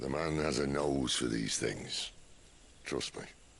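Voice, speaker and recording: In a put-on character voice, a man growls out raspy, very deep, low lines at a fairly slow pace with fairly even intonation over clear background noise. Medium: video game. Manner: dry, wry.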